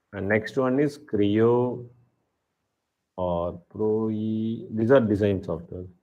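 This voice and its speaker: Speech comes at a very slow pace with ordinary pitch variation and long, frequent pauses, in a room with audible echo. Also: man, fairly low pitch for a man. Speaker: automotive engineering executive, guest lecturer. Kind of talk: lecture Q&A. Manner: hesitant, repetitive.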